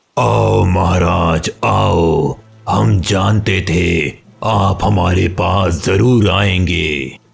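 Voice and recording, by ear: Music plays in the background. A cartoonish character voice speaks at a very slow pace. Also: man, very deep, low pitch for a man.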